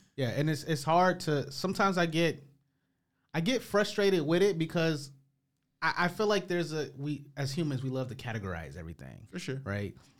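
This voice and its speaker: Recorded very cleanly over a silent background, a man with an American accent speaks in a plain, everyday voice, fairly high-pitched with lively intonation. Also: fairly quick pace. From US Midwest. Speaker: podcast host. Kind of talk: casual chat.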